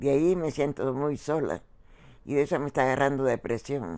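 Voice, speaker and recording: On a very clean recording with a silent background, a woman speaks in a very deep, low pitch with a dark, mellow tone, vocal fry and ordinary pitch variation. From El Salvador. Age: 90s. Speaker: retired factory worker. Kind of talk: interview. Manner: halting.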